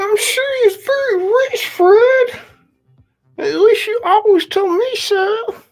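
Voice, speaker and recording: A squeaky put-on character voice is pitched extremely high. It moves at a fairly slow pace. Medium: read story.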